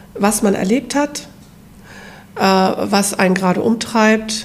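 A woman's fairly high-pitched voice at a fairly slow pace, fairly even in intonation, over noticeable background noise. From northern Germany. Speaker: hobby ceramic painter. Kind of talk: casual chat.

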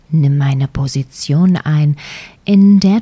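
Very slow and somewhat breathy, a woman's dark, mellow, soothing tone comes through with ordinary pitch variation in a dry, close sound with no echo. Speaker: meditation guide. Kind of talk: guided meditation. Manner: slow, soft-spoken, soothing, with long pauses.

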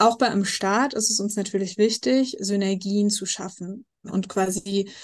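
This is an unremarkable speaking voice, a woman's, at a medium pitch. She talks at a fairly slow pace with fairly even intonation. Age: 20s. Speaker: nonprofit founder living with MS. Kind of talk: interview.

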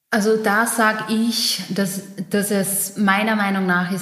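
A woman's medium-pitched voice with a slight Styrian accent and audible room echo. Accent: slight Styrian Austrian dialect. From Austria, eastern Styria. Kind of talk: casual interview.

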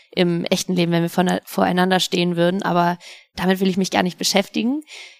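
A woman talking at a very fast pace, in a very clean recording with a silent background and a dry, close sound with no echo. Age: 30s. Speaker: sports presenter. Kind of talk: casual interview.

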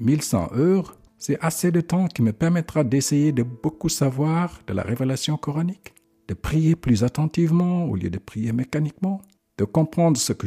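Speaking at a fairly slow pace, a man with a fairly high pitch has a dark, mellow, somewhat breathy tone, lively intonation and a dry, close sound with no echo. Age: 50s. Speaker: religious podcaster. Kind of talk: religious reflection monologue.

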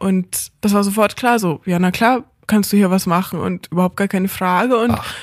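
With an ordinary speaking voice, a woman talks at medium pitch and a moderate pace with fairly even intonation, recorded very cleanly against a silent background. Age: 20s. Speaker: hospice volunteer and lecturer. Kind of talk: interview. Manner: casual, many fillers.

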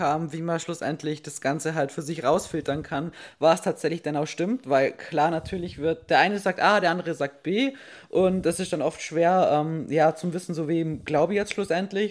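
Recorded very cleanly against a silent background, a woman speaks at a moderate pace with fairly low pitch and ordinary pitch variation. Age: 20s. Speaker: fitness podcast host. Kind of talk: casual chat. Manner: hectic.

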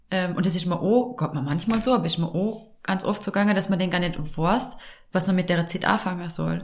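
A woman's somewhat breathy, medium-pitched voice with ordinary pitch variation at a moderate pace. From Austria, Vorarlberg. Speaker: podcast host and life coach. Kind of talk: casual chat.

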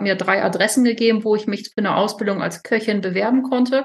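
A woman with a slight northern German accent, fairly high pitch, fairly even intonation and a fairly quick pace. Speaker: chef and retreat owner. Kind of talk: interview.

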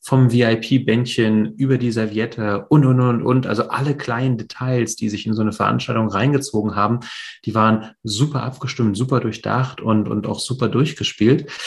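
A somewhat breathy voice speaks at a moderate pace with fairly even intonation. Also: man, medium pitch for a man. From East Germany (GDR), Polish family, later West Berlin. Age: 40s. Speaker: real estate investor. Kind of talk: interview, life story. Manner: hesitant, many fillers.

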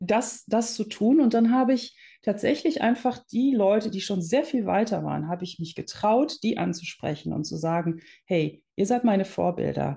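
Against a quiet background, a woman speaks at a moderate pace with a fairly high pitch and lively intonation. Her tone is dark and mellow, with vocal fry. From Netherlands, raised in Germany. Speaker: entrepreneur, founder of a women's business network. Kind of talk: interview.

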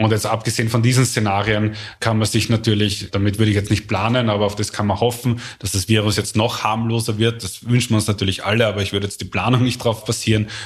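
Very fast and monotone with flat intonation, a man speaks at a fairly low pitch in a somewhat breathy voice. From Austria, Vienna and Lower Austria. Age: 40s. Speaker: complexity scientist. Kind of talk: interview. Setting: office.

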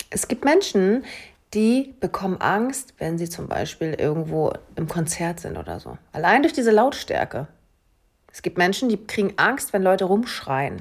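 Speaking at a fairly slow pace, the woman has a medium pitch with very wide swings, vocal fry, and big swings in loudness. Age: middle-aged. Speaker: hypnosis coach. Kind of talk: casual chat.

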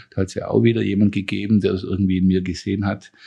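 With a Swabian accent, a man speaks in a dark, mellow tone at a fairly low pitch. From Swabia, southwest Germany. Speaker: university president and economics professor. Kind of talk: interview conversation.

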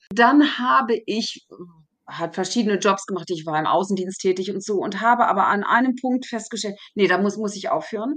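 Her medium-pitched voice moves at a moderate pace, and this woman's intonation is lively. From Germany. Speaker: therapy method coach. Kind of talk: interview. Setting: remote call.

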